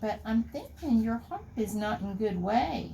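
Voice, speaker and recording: This is a put-on character voice, fairly high in pitch. It is delivered at a fairly slow pace against clear background noise. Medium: read story.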